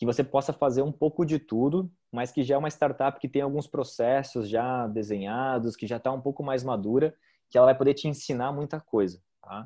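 Over a quiet background, a man talks at a moderate pace in a dark, mellow tone. His medium pitch shows ordinary variation. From southern Brazil, Joinville (Santa Catarina). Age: 30s. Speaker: startup founder, marketer. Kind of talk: podcast interview.

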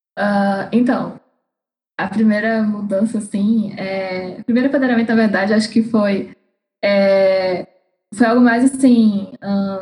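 With a fairly high pitch, a woman's somewhat breathy voice has a dark, mellow tone and monotone, flat intonation. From Fortaleza, Brazil (Northeast). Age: 21. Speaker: astronomy student. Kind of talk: casual chat.

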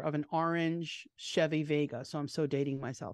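Fairly even intonation comes through in a dry, close sound with no echo over a quiet background. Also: woman. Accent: New York. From New York, Long Island. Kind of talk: casual chat. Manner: fast.

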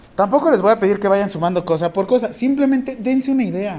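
A man with a Mexican accent speaks at a high pitch. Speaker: nursing professor. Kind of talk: classroom lecture. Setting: classroom with students. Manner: informal, joking.

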